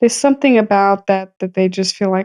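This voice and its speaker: A woman talks at a fairly quick pace in a dark, mellow tone. The sound is dry and close, with no echo. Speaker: podcast co-host. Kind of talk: casual chat.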